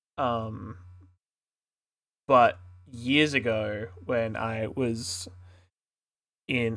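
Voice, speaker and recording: This man speaks with an Australian accent at a medium pitch. His tone is relaxed and his intonation fairly even. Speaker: streamer and artist. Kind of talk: casual live stream chat. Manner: relaxed, halting.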